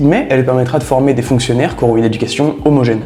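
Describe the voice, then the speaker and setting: Very fast speech with audible room echo and music in the background. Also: man. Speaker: history explainer video creator. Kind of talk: scripted educational narration. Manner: animated.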